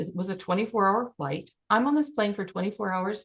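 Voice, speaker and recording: A woman with an unremarkable speaking voice and medium pitch talks at a moderate pace against a quiet background. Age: 60s. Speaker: life and business coach. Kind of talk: group coaching session.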